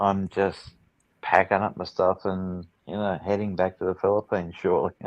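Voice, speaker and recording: A man with an Australian accent speaks at a moderate pace in a very deep, low voice with monotone, flat intonation, the sound dry and close with no echo against a quiet background. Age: 60s. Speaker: film industry worker. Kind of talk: casual chat. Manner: hesitant, many fillers.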